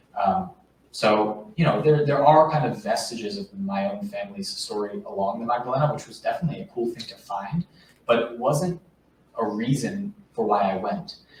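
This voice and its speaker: A man with an American accent speaks with very wide pitch swings and big jumps in loudness over noticeable background noise. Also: fairly high pitch for a man, moderate pace. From New York suburbs. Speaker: author. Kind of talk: book talk interview. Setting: bookstore event with live audience. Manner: hesitant with fillers.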